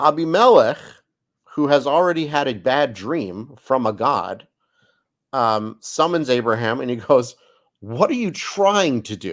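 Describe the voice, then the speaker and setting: This man has an ordinary speaking voice with a fairly high pitch. He talks at a fairly slow pace with lively intonation. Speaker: rabbi and Bible study host. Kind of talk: Bible study lecture.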